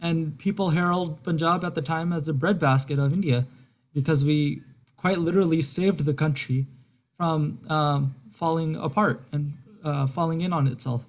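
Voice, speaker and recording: This man has an ordinary speaking voice, pitched fairly high. He talks at a moderate pace with fairly even intonation. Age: 20s. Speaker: politics graduate, aspiring lawyer. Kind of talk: casual discussion.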